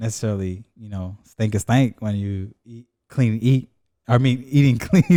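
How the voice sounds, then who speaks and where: A man with a dark, mellow tone speaks at a medium pitch and moderate pace with ordinary pitch variation. The recording is very clean, with a silent background. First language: Spanish. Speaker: podcast co-host. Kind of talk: casual chat.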